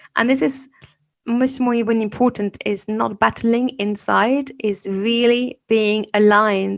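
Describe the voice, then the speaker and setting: A woman speaks in a French accent at a fairly slow pace. Her fairly high pitch stays on a fairly even intonation. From France. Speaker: podcast host and fear coach. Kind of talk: interview.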